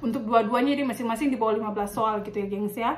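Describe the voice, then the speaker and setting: Noticeable background noise sits behind a woman speaking at a fairly high pitch with fairly even intonation. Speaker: nurse and vlogger. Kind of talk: casual tutorial vlog. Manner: casual, with many fillers.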